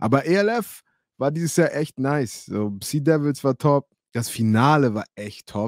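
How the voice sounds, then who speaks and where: Delivery is fairly slow, animated and full of lively intonation. The sound is dry with no echo over a quiet background. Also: man, fairly high pitch for a man. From Hamburg, Germany. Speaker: former American football player and streamer; streamer. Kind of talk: live stream storytelling. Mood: relaxed, friendly, occasionally laughing. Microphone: studio mic.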